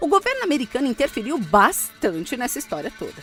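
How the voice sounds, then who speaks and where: A woman's high voice with very wide pitch swings, a Brazilian accent, and music in the background. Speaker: voice-over artist. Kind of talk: conversational streaming promo read. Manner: relaxed, light, casual.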